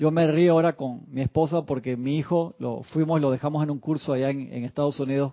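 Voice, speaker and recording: An unremarkable speaking voice at a moderate pace, with fairly even intonation. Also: man. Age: 40s. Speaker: spiritual teacher. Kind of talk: lecture.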